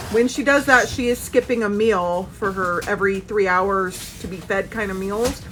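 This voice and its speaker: Noticeable background noise sits behind this recording. A woman speaks at a moderate pace. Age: 30s. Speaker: doll shop owner and vlogger. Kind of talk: casual vlog. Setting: doll shop.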